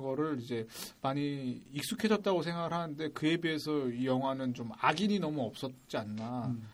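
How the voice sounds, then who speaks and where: A normal speaking voice with lively intonation moves along at a moderate pace. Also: man. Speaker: podcast assistant host. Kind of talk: casual chat about a film. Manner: polite, deferential to the priest.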